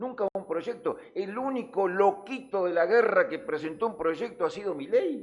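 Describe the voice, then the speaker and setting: Animated and lively in intonation, a man with a high-pitched voice speaks fairly slowly with hardly any pauses. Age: 60s. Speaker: news show panelist. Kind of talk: heated debate. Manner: halting.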